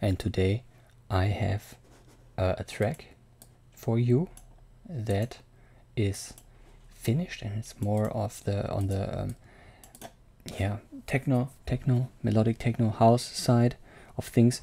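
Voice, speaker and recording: A soft-spoken man talks at a very slow pace. His speech has long, frequent pauses. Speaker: music producer. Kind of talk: tutorial. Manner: quiet, speaking softly. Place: home room. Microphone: studio mic.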